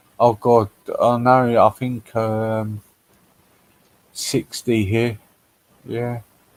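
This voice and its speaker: A man with a London accent speaks very slowly at medium pitch in a flat monotone, leaving long, frequent pauses, with a dry, close sound and no echo. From London, England. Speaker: livestream host. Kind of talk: casual chat.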